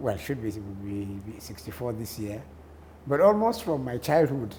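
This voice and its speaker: A man's somewhat breathy, medium-pitched voice with a dark, mellow tone, lively intonation, big swings in loudness and a northern Nigerian accent, in audible room echo. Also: moderate pace. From northern Nigeria, Kano. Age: 60s. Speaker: journalist and columnist. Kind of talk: interview.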